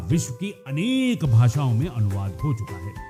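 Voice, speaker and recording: A man with a medium pitch speaks over background music. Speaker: radio presenter. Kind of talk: radio storytelling narration.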